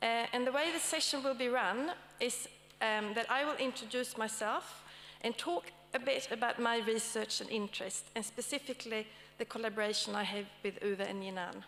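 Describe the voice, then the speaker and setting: A woman talks at a moderate pace with a fairly high pitch. Her pitch variation is ordinary. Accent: Swedish. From Sweden. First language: Swedish. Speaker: academic panel moderator. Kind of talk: conference talk. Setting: stage with audience. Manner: hesitant, with many fillers.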